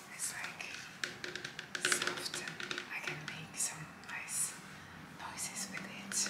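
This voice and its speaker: A whisper at a very slow pace. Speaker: home baker. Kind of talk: ASMR baking tutorial. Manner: whispered. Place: kitchen.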